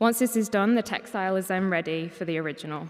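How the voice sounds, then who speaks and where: A woman speaks in an ordinary speaking voice. Her pitch is medium, and her intonation is fairly even. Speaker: paper conservator. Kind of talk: conference talk.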